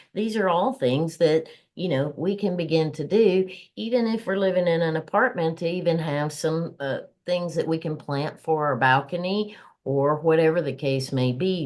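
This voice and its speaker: In a Southern US accent, the speaker talks at a moderate pace. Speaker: podcast co-host. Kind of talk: casual podcast chat.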